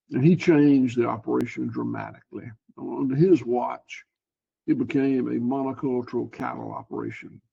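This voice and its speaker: A man speaks at a moderate pace in a Southern US accent. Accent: Southern US (Georgia). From US South, Georgia. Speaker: cattle farmer. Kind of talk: interview. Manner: halting, repeats words.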